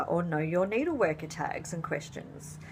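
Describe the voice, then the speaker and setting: Speaking at a very slow pace, a woman with a fairly low pitch talks with an Australian accent. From Australia, rural New South Wales. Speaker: fabric dyer and craft vlogger. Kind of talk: casual vlog talk.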